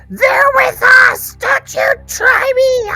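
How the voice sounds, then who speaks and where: Shouting in a put-on character voice, the speaker hits an extremely high pitch. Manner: fierce, threatening; defiant, shouting.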